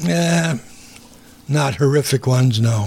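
A man's somewhat breathy voice at medium pitch. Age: 80s. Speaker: retired worker, host's father. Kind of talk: casual interview.

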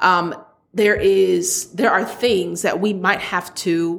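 A woman speaks very slowly. Her pitch shows ordinary variation. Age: 30s. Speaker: podcast host. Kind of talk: casual monologue.

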